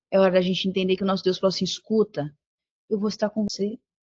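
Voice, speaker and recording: Breathy to some degree, a woman speaks at a very fast pace in a dry, close recording with no echo. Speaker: preacher. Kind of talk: sermon. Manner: animated.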